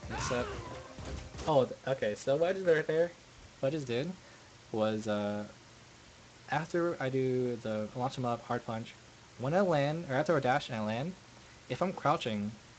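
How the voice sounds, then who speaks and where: Mumbling at a moderate pace, a man with a medium-pitched voice uses lively intonation and takes long, frequent pauses. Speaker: fighting game player. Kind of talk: gameplay commentary. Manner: mumbling, hesitant.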